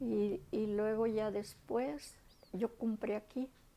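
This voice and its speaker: A woman with a fairly high pitch. Her tone is dark and mellow. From Jalisco, Mexico. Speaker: grandmother. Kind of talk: interview answer.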